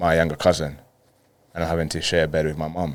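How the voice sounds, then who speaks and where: A man with a London accent, very deep and low in pitch, monotone and flat in intonation. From Colombia, then London from age ten. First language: Spanish. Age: 30s. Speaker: professional footballer. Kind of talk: podcast interview.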